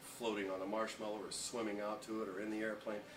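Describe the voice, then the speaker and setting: Amid noticeable background noise, a man with a fairly low pitch talks at a fairly quick pace. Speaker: former morning radio host. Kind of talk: interview answer.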